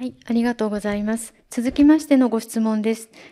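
Her voice is fairly high, and the woman keeps a moderate pace. The background is quiet. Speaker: seminar moderator. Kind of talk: moderating Q&A. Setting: seminar venue with audience. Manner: formal. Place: hall.

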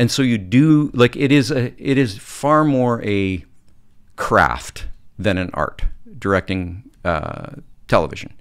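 A man with a western Canadian accent speaks with lively intonation against a quiet background. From Canadian Prairies (Calgary, Alberta); Alberta. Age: 50s. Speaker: film and TV director; podcast guest. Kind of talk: casual chat. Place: studio. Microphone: studio mic.

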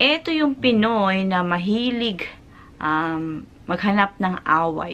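With lively intonation, a woman speaks at a very slow pace and a medium pitch. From Philippines. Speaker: vlogger and overseas factory worker; overseas worker vlogger. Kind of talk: vlog talking to camera. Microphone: phone near.

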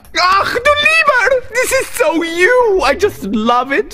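A man shouting in a put-on character voice, extremely high-pitched, bright and sharp, with big pitch swings at a slow pace. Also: faint background noise.

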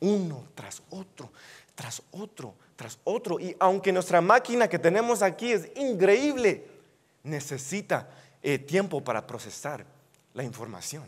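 A man with a high pitch speaks at a fairly slow pace, his voice making very wide pitch swings. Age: 20s. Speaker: youth preacher. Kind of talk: sermon. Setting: church. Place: hall.

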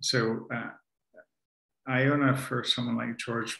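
Very slowly, a man speaks with a bright, sharp tone, vocal fry and monotone, flat intonation. The background is quiet, but room echo is audible. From Canada, Ontario. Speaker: author and spiritual teacher; spiritual teacher. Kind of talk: conversational talk on spirituality. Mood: calm, reflective, warm. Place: home room.

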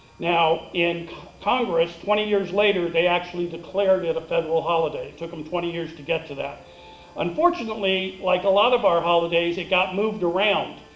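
With faint music in the background and audible room echo, a man with a high pitch speaks at a fairly quick pace and fairly even intonation. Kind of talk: ceremony speech. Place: stage.

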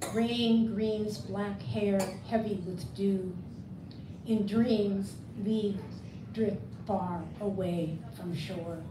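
A woman with an American accent speaks at a very slow pace, leaving long, frequent pauses. Her intonation is fairly even, and there is noticeable background noise. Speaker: poet and translator; poet. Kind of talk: poetry reading; book event discussion. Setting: bookstore event with audience. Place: shop. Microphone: camera far.

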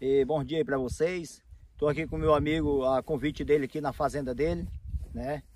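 A man speaks in a plain, everyday voice at a moderate pace. His intonation stays fairly even, and the sound is dry with no echo. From Roraima, Brazil. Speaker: real estate broker. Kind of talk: interview. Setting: outdoors. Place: open country.

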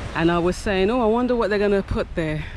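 Light noise sits in the background. The sound is dry, with no echo. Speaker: travel vlogger. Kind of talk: casual vlog chat. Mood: relaxed, curious. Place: beach. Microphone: phone near.

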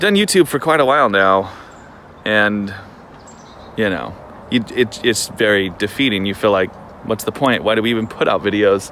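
Moderate pace, dry sound with no echo, and light background noise. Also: man. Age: 30s. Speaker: vlogger and filmmaker; vlogger. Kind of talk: vlog monologue. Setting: outdoors on a trail. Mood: reflective, candid. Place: forest. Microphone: phone near.

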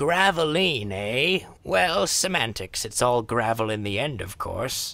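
A man at medium pitch and fairly slow pace, his voice swinging very widely in pitch. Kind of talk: comic overacting. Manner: blustery, scoffing, pompous.

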